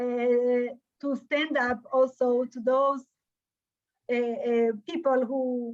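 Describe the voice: A woman's fairly high voice, slightly mellow in tone, slow and with little pitch movement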